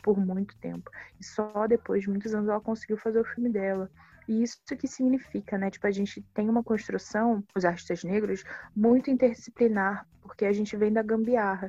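Dark, mellow tone from a woman at a fairly high pitch, flat and monotone, at a fairly quick pace. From Rio de Janeiro, Baixada Fluminense. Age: 20s. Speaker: filmmaker. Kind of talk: interview.

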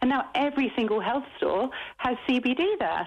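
Noticeable background noise sits behind a woman's voice. She talks at a fairly slow pace with lively intonation. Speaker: interviewee. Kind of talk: interview. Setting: phone call. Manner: energetic.

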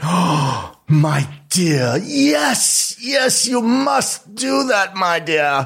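A put-on character voice at a middle pitch, at a very slow pace. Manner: theatrical, endearing.

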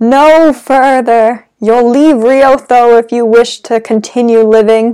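A woman uses a put-on character voice, high-pitched and very even in loudness, at a fairly slow pace. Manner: tragic, dramatic, warning.

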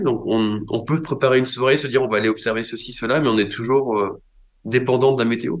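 A man uses a normal speaking voice at a medium pitch and a fairly quick pace. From Brittany, France. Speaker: astrophysicist. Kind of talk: interview.

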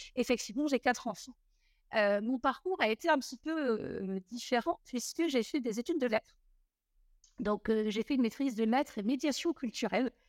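A woman's high voice, full of lively intonation, comes through dry and close with no echo in a very clean recording over a silent background. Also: moderate pace. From southern France (Montpellier). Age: 40s. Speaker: mortgage broker and trade union founder. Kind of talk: interview.

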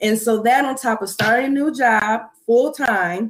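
Using a plain, everyday voice, a woman talks at a fairly slow pace and fairly high pitch with ordinary pitch variation. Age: 20s. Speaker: skincare entrepreneur. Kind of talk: casual chat. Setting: live stream.

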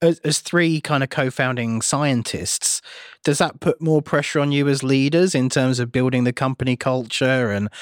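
With a normal speaking voice, a man talks at a moderate pace and medium pitch with fairly even intonation, in a very clean recording with a silent background. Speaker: tech podcast co-host. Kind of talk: interview.

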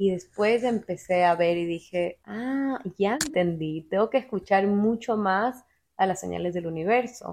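A woman's medium-pitched voice with ordinary pitch variation, an ordinary speaking voice. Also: fairly slow pace, quiet background. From Ecuador. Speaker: podcast guest, office worker and amateur painter. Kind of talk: casual chat. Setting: at the guest's home.

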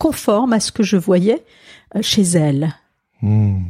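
A woman speaks at a very slow pace in a somewhat breathy, dark, mellow tone. The sound is dry and close with no echo, in a very clean recording with a silent background. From Alsace, France. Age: 60s. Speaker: pastor and author. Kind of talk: interview conversation.

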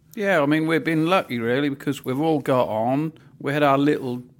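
A man with a Norfolk accent and ordinary pitch variation, on a very clean recording with a silent background. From Norfolk, England. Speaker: farmer.

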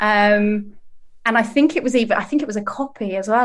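In a British accent, a woman speaks at a fairly high pitch and moderate pace. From UK. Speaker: comedian. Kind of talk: casual chat.

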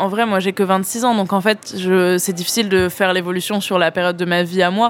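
A woman speaks very fast at a medium pitch, her intonation flat and monotone. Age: 20s. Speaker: local politician. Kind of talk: interview.

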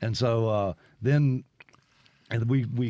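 A man with a Mississippi accent, medium pitch and ordinary pitch variation. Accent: Mississippi Southern. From Mississippi (Brandon, near Jackson). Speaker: musician. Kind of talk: radio interview. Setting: studio.

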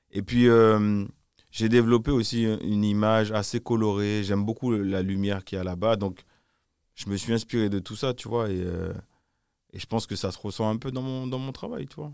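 A man's fairly low-pitched voice with fairly even intonation, moderate pace, long, frequent pauses and big swings in loudness, on a very clean recording with a silent background. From Martinique. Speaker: music video director. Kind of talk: interview. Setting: live event venue. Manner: halting.

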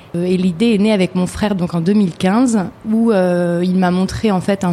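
This woman's voice is somewhat breathy, dark and mellow, medium in pitch, with fairly even intonation. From France, Chartres. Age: 30s. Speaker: entrepreneur, handbag brand founder. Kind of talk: interview testimony. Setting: recorded at a shop in Chartres. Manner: halting, many repetitions.

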